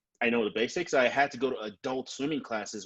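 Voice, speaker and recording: A man with a Nigerian accent speaks at a medium pitch against a quiet background. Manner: hesitant, repeats words.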